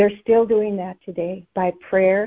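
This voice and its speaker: At a fairly slow pace, a woman talks in a flat, monotone way at a medium pitch. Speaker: conference call participant sharing a word. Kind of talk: scripture sharing and teaching.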